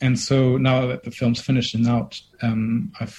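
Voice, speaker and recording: The speaker is a man with a somewhat breathy voice. His pitch is medium. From Germany. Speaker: filmmaker. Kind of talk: interview.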